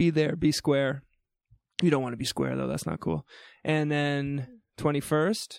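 Speaking with a slight New Brunswick accent, a man has a fairly high pitch. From New Brunswick, Canada. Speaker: university orientation week podcast host. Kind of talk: casual chat. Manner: animated.

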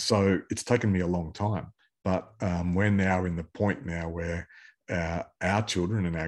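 A man with an Australian accent and a very deep, low pitch talks at a moderate pace with fairly even intonation, in a very clean recording with a silent background. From Queensland, Australia. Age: 50s. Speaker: pastor and business owner. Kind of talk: interview.

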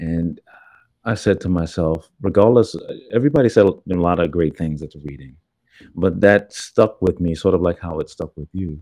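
A man with a very deep, low voice and a dark, mellow tone speaks at a moderate pace, his pitch varying in an ordinary way while his loudness swings widely over a quiet background. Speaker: podcast host. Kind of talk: casual chat.

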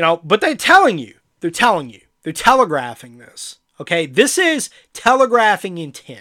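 A raised, projected voice with an angry tone and a bright, sharp sound moves at a moderate pace through very wide pitch swings, recorded very cleanly against a silent background. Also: man, high pitch for a man. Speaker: podcast host. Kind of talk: angry political rant. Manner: angry, sarcastic, heated.

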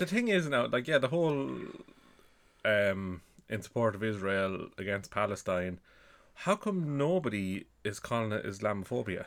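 A fairly low male voice with an Irish accent, very wide pitch swings and a moderate pace, on a very clean recording with a silent background. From Ireland. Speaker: podcast co-host. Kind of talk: casual chat.

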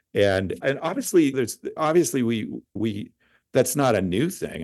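A man speaks with an American accent at a moderate pace. The background is quiet. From US, California Central Valley (Madera County). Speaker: wine industry executive. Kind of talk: interview. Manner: articulate.

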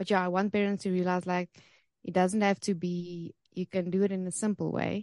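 Speaking quickly-ish with a South African accent, a woman with a fairly low pitch and a dark, mellow tone keeps a monotone, flat intonation, recorded dry and close with no echo against a quiet background. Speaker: homeschool resource founder.

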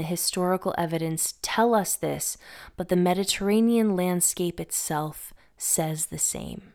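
A woman's medium-pitched, unremarkable speaking voice with an American accent, fairly even intonation, and a fairly slow pace, on a very clean recording with a silent background. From Massachusetts, Northeast US. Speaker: podcast host on mythology and herbalism. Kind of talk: scripted narration.

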